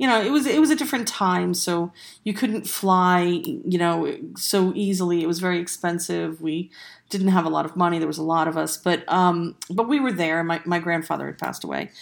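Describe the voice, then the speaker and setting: A woman has an unremarkable speaking voice with a fairly low pitch and ordinary pitch variation. She talks at a fairly quick pace on a very clean recording with a silent background. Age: 50s. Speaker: podcast host and paranormalist. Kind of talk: personal storytelling monologue.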